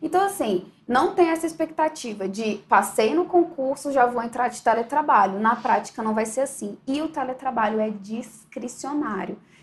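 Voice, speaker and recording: A woman's high voice, lively in intonation, at a moderate pace with hardly any pauses, over noticeable background noise. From Brasília, Brazil. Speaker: federal auditor and online course teacher. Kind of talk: interview.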